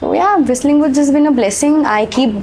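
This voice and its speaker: With lively intonation, a woman speaks at a moderate pace amid noticeable background noise. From India, Bengali. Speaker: actor and voice-over artist. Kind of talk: podcast interview answer. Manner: casual, conversational, mixes Hindi and English.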